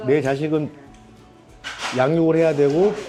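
A man's fairly high voice at a fairly slow pace, with music in the background. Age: 60s. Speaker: retired corporate employee. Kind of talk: interview answer.

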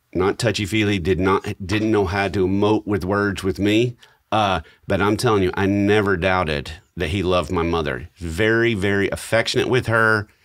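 Over a quiet background, a man speaks at a moderate pace with a fairly low pitch. His loudness stays very even, and his pitch varies in an ordinary way. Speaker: podcast co-host. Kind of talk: podcast storytelling chat. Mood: warm, reflective, lightly humorous. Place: studio. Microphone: studio mic.

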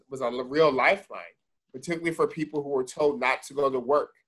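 The man moves at a fairly quick pace, with a quiet background behind him. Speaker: guest. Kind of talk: interview answer. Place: office. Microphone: video call.

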